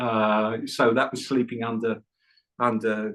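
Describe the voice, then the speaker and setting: At a moderate pace, a man speaks with an English accent in a medium pitch. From England. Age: 70s. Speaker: Buddhist meditation teacher. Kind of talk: podcast interview.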